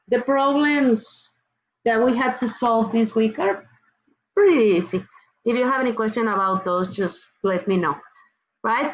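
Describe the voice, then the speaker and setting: A high-pitched woman in a Mexican accent, with lively intonation and a fairly slow pace. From Mexico. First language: Spanish. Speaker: college chemistry instructor. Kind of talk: online class lecture. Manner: casual, repetitive with fillers.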